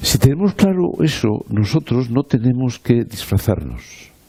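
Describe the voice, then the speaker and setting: Noticeable background noise sits behind a man at medium pitch. He talks at a fairly slow pace with very wide pitch swings. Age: 70s. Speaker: politician. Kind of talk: panel discussion. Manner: animated.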